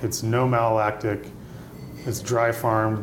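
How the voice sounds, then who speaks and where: With an American accent, a man talks at a moderate pace in a fairly low pitch and monotone, flat intonation. Noticeable background noise and audible room echo fill the recording. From US Midwest, Indiana. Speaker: winemaker. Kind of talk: interview. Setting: restaurant.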